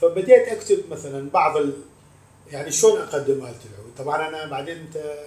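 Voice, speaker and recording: The loudness of this man's voice swings widely. His pitch is fairly high and his intonation fairly even, at a moderate pace. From Iraq. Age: 50s. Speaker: oud and violin musician and composer. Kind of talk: interview. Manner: halting.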